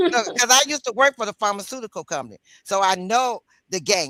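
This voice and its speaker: A man speaks in a raised, projected voice at a fairly quick pace, his tone bright and sharp. The intonation is lively, and the sound is dry and close with no echo. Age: 60s. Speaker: community commenter, former pharmaceutical worker. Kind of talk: casual chat.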